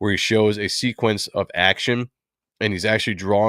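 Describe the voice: Over a quiet background, someone does plain reading aloud, keeping the intonation fairly even.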